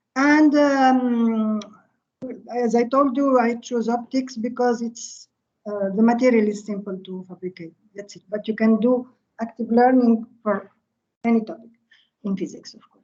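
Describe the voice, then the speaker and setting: A woman's fairly high yet dark, mellow voice at a fairly slow pace, with fairly even intonation and long, frequent pauses. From Tunisia. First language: Arabic. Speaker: physics professor. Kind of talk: lecture. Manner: halting.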